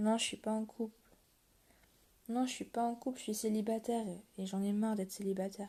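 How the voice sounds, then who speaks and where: A woman with a fairly high pitch speaks at a fairly quick pace in a monotone, flat intonation, her somewhat breathy voice dark and mellow in tone, broken by long, frequent pauses. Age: 20s. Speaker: livestreamer talking to viewers. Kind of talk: casual live-stream confession to viewers. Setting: live stream at 1 a.m. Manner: halting, hesitant.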